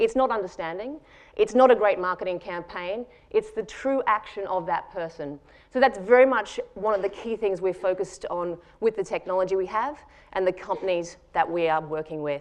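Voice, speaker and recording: A woman's voice, medium in pitch, carries ordinary pitch variation as she speaks at a moderate pace. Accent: Australian. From Australia. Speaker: tech company founder and CEO. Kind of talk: conference talk.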